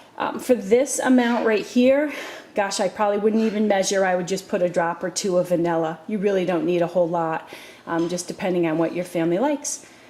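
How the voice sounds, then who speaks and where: A woman's medium-pitched voice with lively intonation at a fairly quick pace, over noticeable background noise. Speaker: home cooking video host. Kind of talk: tutorial. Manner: casual, with many fillers.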